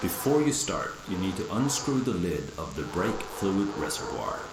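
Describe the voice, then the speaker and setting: A man with a fairly low pitch talks at a moderate pace, with audible room echo and noticeable background noise. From Sweden. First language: Swedish. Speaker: car repair tutorial maker. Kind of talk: tutorial. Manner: casual, relaxed.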